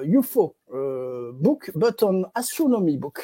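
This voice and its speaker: Speaking very slowly with a French accent, a woman at a medium pitch lets her voice swing very widely. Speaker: interview host. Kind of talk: interview. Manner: halting.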